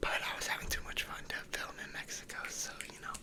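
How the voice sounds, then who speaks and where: Whispering in a relaxed tone, a man with an American accent talks at a fairly quick pace over noticeable background noise. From United States. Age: 20s. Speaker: ASMR creator, college student and baseball player. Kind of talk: casual whispered ramble to camera. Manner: whispered, relaxed, chatty.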